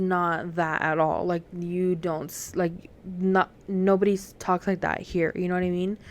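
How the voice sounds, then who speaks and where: A woman at medium pitch speaks at a fairly slow pace on a very clean recording with a silent background. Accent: slight Southern US. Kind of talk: casual storytelling monologue.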